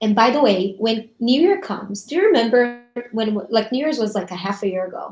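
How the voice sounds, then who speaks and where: With a Portuguese accent, a woman speaks at a fairly quick pace in a fairly high, somewhat breathy voice with ordinary pitch variation. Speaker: essential oils business host. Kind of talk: casual motivational chat on a livestream. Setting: live video stream.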